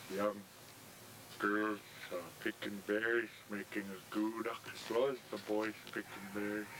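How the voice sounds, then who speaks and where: A man's fairly low, monotone, flat voice at a fairly slow pace, with long, frequent pauses and noticeable background noise. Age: 60s. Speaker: villager. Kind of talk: interview.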